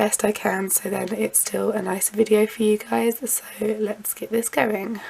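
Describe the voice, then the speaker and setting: A woman talks quietly at a moderate pace, her pitch sitting in the middle range. Noticeable background noise runs behind her. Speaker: lifestyle vlogger. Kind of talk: casual vlog talk to camera. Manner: hesitant with frequent um.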